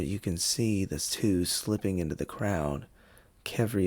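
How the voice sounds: The pitch moves in an ordinary way as a natural reading voice goes along.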